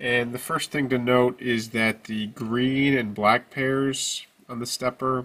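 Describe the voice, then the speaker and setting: A man's monotone voice with flat intonation. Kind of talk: tutorial. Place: workshop.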